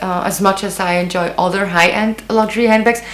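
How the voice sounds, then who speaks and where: A woman with a non-native accent speaks over noticeable background noise. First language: not English. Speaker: beauty and fashion YouTuber. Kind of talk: casual vlog. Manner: hesitant, many fillers.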